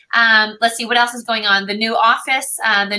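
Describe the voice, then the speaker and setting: Here a woman speaks at a fairly high pitch. Her intonation stays fairly even. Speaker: team leader hosting a coach training call. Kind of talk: team call announcements and speaker introduction. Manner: fast.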